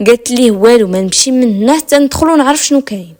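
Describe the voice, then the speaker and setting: Speaking at a fairly quick pace, a woman with a Moroccan accent has a fairly high pitch and ordinary pitch variation. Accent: Moroccan Darija. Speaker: storyteller. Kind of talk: true crime story narration. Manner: suspenseful.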